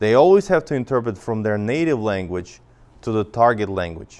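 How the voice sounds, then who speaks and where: Here a man speaks with a Russian accent. His voice is fairly low in pitch, with lively intonation. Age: 40s. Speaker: interpretation instructor. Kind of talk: lecture. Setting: church classroom. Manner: many fillers and restarts.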